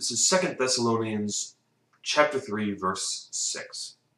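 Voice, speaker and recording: A man's fairly slow speech is accompanied by audible room echo. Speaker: film reviewer. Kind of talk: casual film review monologue. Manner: slurring words; halting, with fillers. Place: home room. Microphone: camera far.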